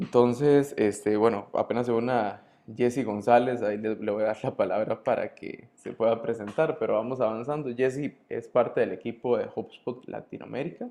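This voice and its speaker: A man's dark, mellow voice at a medium pitch, moderate in pace with hardly any pauses and ordinary pitch variation. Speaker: consulting firm director, webinar host. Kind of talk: webinar presentation. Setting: online webinar.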